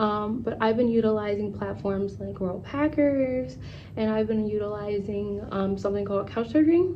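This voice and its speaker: Audible room echo surrounds a woman speaking at a medium pitch with lively intonation. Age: 20s. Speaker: travel vlogger. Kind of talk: casual chat. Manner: fast; animated.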